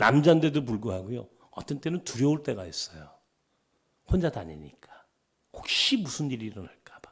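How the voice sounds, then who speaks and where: A man with a Chungcheong accent uses vocal fry, very wide pitch swings and big swings in loudness. He leaves long, frequent pauses. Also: medium pitch for a man, moderate pace. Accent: Chungcheong dialect features. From Seoul, partly Chungcheong (Dangjin). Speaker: pastor. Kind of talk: sermon.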